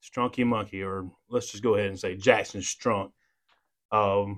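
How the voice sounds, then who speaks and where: On a very clean recording with a silent background, a man with a Southern US accent speaks in a fairly low pitch. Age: 40s. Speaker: podcast host, police officer. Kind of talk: casual interview.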